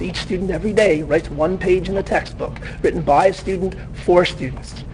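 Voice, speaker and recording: The speaker has a Canadian accent, heard over noticeable background noise. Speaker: teacher. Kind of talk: conference talk. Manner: fast.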